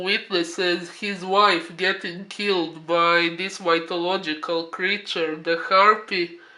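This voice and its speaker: At a very slow pace, a man speaks in a high voice with monotone, flat intonation. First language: not English. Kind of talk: casual review talk to camera. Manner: hesitant, filler-heavy, with frequent 'uh'.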